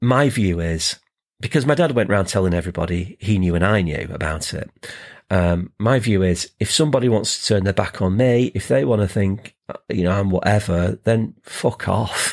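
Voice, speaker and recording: A man with an ordinary speaking voice talks at a fairly low pitch and a moderate pace, using ordinary pitch variation. The recording is very clean with a silent background. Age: 50s. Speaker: podcast co-host. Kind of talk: casual chat.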